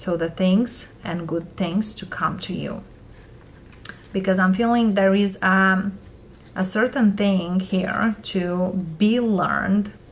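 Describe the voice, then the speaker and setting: The intonation stays fairly even. The pace is very slow. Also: woman. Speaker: tarot reader. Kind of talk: tarot reading commentary. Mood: calm, gentle advice.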